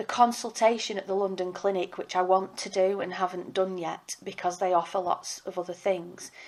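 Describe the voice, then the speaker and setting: The speaker has an English accent. The delivery moves at a moderate pace. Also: woman. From Britain. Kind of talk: personal appeal.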